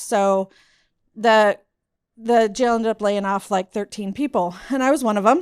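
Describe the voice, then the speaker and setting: The speaker has an American accent and a fairly slow pace, with ordinary pitch variation. The recording is very clean with a silent background, and the sound is dry and close with no echo. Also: woman. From US South (Mississippi). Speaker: school district IT manager. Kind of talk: personal story talk. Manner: casual, filler-heavy.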